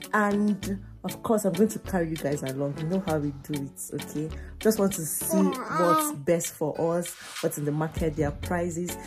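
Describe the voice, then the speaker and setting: Clear music plays behind a woman whose very deep, low voice moves at a moderate pace. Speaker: vlogger. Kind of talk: casual vlog chat. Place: home room. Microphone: phone near.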